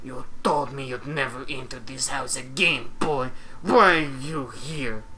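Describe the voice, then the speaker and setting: Someone doing a put-on character voice talks at a fairly slow pace over clear background noise. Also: man, medium pitch for a man. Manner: quiet, bitter.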